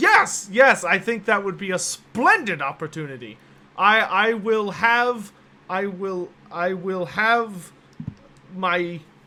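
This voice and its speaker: At a fairly slow pace, a man does a put-on character voice pitched high. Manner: nervous, muttering, stammering.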